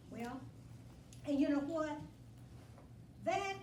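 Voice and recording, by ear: A woman speaks at a high pitch, with audible room echo around her.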